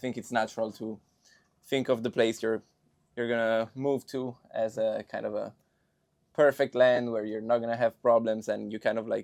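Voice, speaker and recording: The voice has an Italian accent and a monotone, flat intonation. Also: man, medium pitch for a man, moderate pace, dry, close sound with no echo. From Milan, Italy. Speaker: film student. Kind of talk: casual chat.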